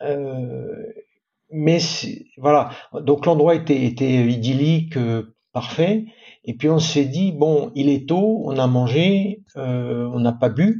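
Speaking at a very slow pace with long, frequent pauses, a man keeps his intonation lively. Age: 50s. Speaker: sailor. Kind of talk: interview. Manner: halting.

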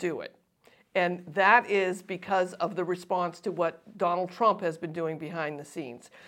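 A woman talks at a moderate pace and medium pitch in an unremarkable speaking voice. The recording is very clean, with a silent background. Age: 60s. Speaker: political analyst and co-host. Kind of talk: casual political discussion.

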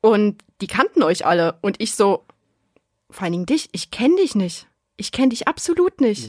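Somewhat breathy and fairly high in pitch, a woman speaks at a moderate pace with very wide pitch swings. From Saxony, Germany. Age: 20s. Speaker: podcast listener, watchmaker. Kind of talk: casual chat.

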